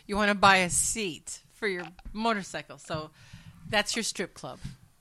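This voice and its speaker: A woman speaks at a moderate pace and medium pitch with ordinary pitch variation, in a bright, sharp tone. Her loudness swings widely, on a very clean recording with a silent background. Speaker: podcast co-host. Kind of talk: casual chat. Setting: home studio. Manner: quiet.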